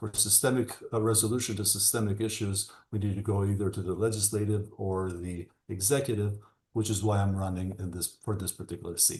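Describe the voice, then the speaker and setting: A man's somewhat breathy voice, monotone and flat, at a fairly quick pace over a quiet background. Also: fairly low pitch for a man. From Albania, Tirana. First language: Albanian. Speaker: attorney and political candidate. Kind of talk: panel interview. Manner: halting, many fillers.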